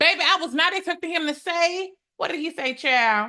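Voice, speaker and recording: A woman's raised, projected voice, bright and sharp, animated in tone with lively intonation over a quiet background. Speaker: legal commentator, court trial vlogger. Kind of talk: casual vlog recap. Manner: loud when excited.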